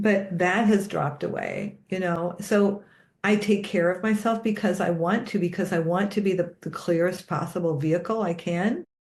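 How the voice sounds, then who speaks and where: A woman's medium-pitched, somewhat breathy voice at a moderate pace, with fairly even intonation. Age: 60s. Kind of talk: casual conversation.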